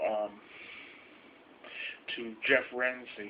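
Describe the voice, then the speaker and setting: A man talks in a New York accent over noticeable background noise. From New York City. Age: old. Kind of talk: casual talk to camera.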